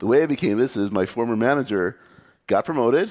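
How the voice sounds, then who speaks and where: A man with an American accent and lively intonation, on a very clean recording with a silent background. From United States. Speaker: computer scientist and conference speaker. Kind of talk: conference talk. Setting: meetup stage with audience. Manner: fast.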